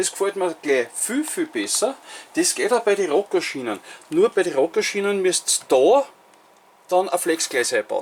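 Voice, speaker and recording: A man with a Viennese accent. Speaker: model railway hobbyist. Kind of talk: casual talk to camera.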